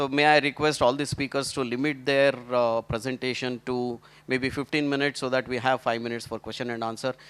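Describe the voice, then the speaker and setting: At a fairly quick pace, a man speaks in a monotone, flat intonation at medium pitch, in a very clean recording with a silent background and a dry, close sound with no echo. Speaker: panel moderator. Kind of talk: conference panel moderation. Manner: halting, many fillers.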